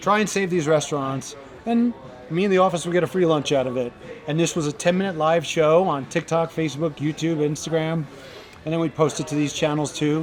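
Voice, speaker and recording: With music in the background, a man talks at a fairly quick pace and fairly high pitch with ordinary pitch variation. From New York. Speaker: restaurant promoter and owner. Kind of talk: podcast interview.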